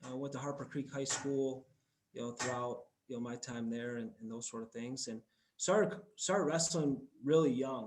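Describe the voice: At a moderate pace and medium pitch, a man speaks with ordinary pitch variation while audible room echo hangs around his voice.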